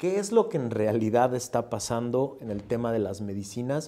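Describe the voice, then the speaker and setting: The man's voice has a dark, mellow tone at a medium pitch. He keeps a moderate pace. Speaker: podcast host, interviewer. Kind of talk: interview.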